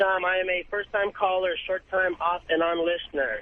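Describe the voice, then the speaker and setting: Over noticeable background noise, a man speaks with a high pitch. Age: 30s. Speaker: caller. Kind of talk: phone-in call. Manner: halting.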